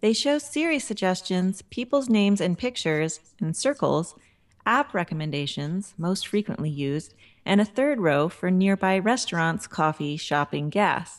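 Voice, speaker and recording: With very wide pitch swings, a woman talks at a moderate pace in a medium pitch. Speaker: web editor and podcast host. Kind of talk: casual chat.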